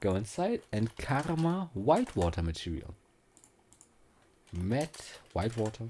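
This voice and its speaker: With a dark, mellow tone and a somewhat breathy voice, a man at medium pitch talks at a very slow pace, pausing long and often while his pitch swings very widely. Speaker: 3D software tutorial creator. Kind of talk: tutorial. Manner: casual, hesitant with fillers and restarts.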